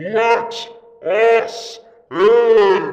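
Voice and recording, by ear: A loud, bellowing put-on character voice. Its intonation stays fairly even. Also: man.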